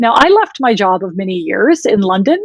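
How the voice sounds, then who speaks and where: The recording is dry and close, with no echo. A woman speaks at a moderate pace in a Wisconsin accent. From US, Wisconsin. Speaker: women's health tech founder. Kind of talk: podcast interview.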